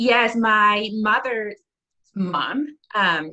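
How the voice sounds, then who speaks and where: Recorded dry and close with no echo, a woman speaks in a bright, sharp tone. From northeastern Japan, Aomori. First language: Japanese. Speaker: preschool teacher and musician. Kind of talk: casual interview.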